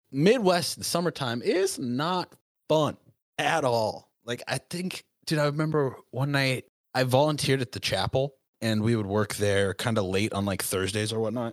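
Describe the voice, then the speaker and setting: In a normal speaking voice, the speaker talks with an American accent. The intonation is lively and the pace moderate. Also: man, medium pitch for a man. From Southern California. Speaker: Navy veteran. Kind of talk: casual chat.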